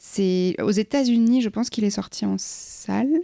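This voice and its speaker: A woman speaks with a dark, mellow tone. The sound is dry and close with no echo, and the recording is very clean with a silent background. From France, Cantal. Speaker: film journalist. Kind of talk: casual chat.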